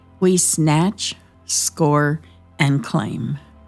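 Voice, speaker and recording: A woman's fairly low voice at a very slow pace with ordinary pitch variation, over music in the background. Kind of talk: mock nature documentary narration.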